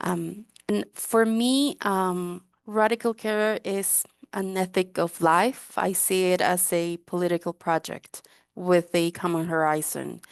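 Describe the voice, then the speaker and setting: In a Spanish accent, a woman speaks very slowly at a medium pitch, the sound dry and close with no echo over a quiet background. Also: ordinary pitch variation. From Guatemala. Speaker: drug user rights activist. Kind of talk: webinar panel talk.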